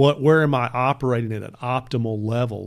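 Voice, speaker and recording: A man's medium-pitched voice with a Texan accent, fairly even intonation and a fairly quick pace, on a very clean recording with a silent background. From Texas, Bedford area. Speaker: lawyer. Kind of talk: casual chat.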